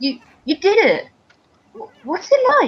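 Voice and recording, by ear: In a put-on character voice, a woman speaks at a high pitch and fairly slow pace, with very wide pitch swings.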